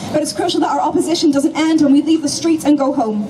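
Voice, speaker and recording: The voice has ordinary pitch variation, heard through noticeable background noise. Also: woman. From Northern Ireland. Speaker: activist speaker. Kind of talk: protest speech. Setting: outdoor protest rally.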